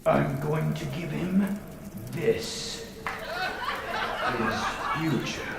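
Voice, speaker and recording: Using a put-on character voice, a man speaks at a very slow pace with clear echo and loud background noise. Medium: comedy sketch. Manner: condescending, dry.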